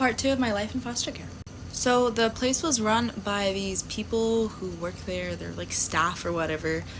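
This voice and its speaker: Audible room echo and noticeable background noise are present. Through them, a woman talks at a moderate pace. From Louisiana. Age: 20s. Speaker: social media storyteller. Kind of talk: personal storytelling to camera. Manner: casual, animated.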